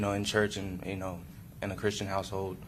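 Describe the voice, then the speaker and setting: A man talks at a fairly low pitch. Room echo can be heard. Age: 20s. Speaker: defendant testifying in court. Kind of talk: court testimony. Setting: courtroom. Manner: halting.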